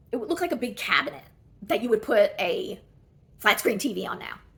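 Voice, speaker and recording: A woman's somewhat breathy voice. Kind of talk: casual talk to camera.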